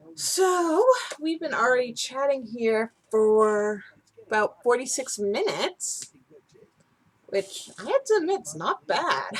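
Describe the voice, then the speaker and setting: Speaking at a very slow pace, a woman uses a high pitch with very wide swings up and down. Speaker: knitting podcast host. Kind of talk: casual chat. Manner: rambling, unscripted.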